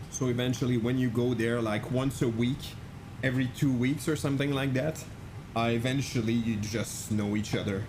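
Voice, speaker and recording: Audible room echo surrounds a man speaking at medium pitch and a moderate pace, his intonation fairly even and his loudness very even. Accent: Quebec. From Quebec, French Canadian. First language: French. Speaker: flight sim streamer. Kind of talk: live stream chat. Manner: casual, halting with many fillers.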